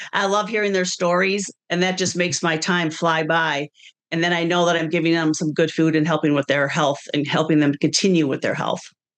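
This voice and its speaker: With an American accent, a woman talks at a fairly quick pace in an unremarkable speaking voice, fairly low in pitch, her intonation fairly even and her loudness very even. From Wisconsin. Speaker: personal chef and business owner. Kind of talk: interview. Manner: casual conversational.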